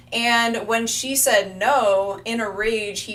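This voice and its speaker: A woman speaks in an animated tone. Audible room echo surrounds her voice. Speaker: astrologer. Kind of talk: live stream talk. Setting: live stream.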